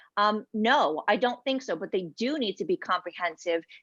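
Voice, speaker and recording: Against a quiet background, a woman with a Polish accent speaks at a fairly slow pace in a fairly high pitch with ordinary pitch variation, the sound dry and close with no echo. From United States, Polish immigrant family. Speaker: patient advocate. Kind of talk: panel discussion.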